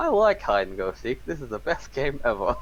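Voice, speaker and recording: A man mumbles in a put-on character voice at a fairly quick pace. Clear background noise is heard behind him. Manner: mumbling to oneself, low, muttered.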